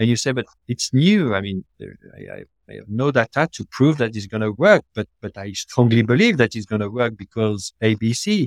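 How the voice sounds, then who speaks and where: Recorded dry and close with no echo, a man with a French accent speaks at a moderate pace and medium pitch, with ordinary pitch variation and big swings in loudness. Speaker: hotel design executive. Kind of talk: casual interview chat. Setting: video call across the Atlantic. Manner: halting, repeats words.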